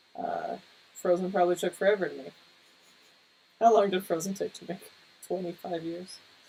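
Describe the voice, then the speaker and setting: Soft-spoken and at a fairly quick pace, a woman speaks with big swings in loudness and long, frequent pauses. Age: 30s. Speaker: cartoonist and artist livestreamer. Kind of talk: casual livestream chat while painting. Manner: hesitant, many fillers.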